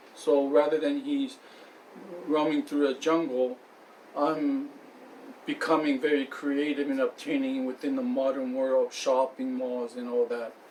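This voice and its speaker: Noticeable background noise sits behind a man speaking at a fairly slow pace. His fairly high voice is monotone and flat. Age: 40s. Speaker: aspiring writer telling life story. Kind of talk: unscripted personal monologue. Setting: friend's house. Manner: halting, many fillers and restarts.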